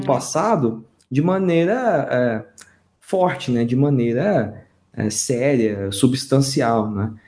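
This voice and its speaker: The voice has a dark, mellow tone and swings very widely in pitch. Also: man. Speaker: historian. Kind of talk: casual podcast discussion.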